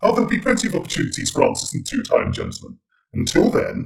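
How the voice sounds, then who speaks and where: Using a strained, put-on character voice, a man speaks very fast at an extremely high pitch. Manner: cryptic, theatrical.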